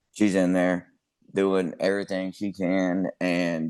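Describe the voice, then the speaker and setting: The delivery is very slow, with monotone, flat intonation. The background is quiet. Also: man. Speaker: music commentary youtuber. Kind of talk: casual monologue. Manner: sounds stoned, laid-back; halting, many fillers.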